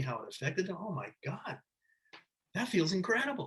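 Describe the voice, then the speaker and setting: A man talks in a somewhat breathy voice. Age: 60s. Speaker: screenwriter and novelist. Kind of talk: interview conversation. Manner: halting, many repetitions and fillers.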